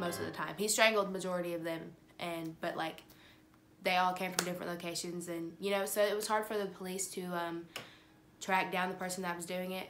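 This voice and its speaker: Over music in the background, the speech runs at a fairly quick pace with monotone, flat intonation. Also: woman. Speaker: true crime vlogger. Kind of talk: casual vlog chat. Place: home room. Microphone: phone near.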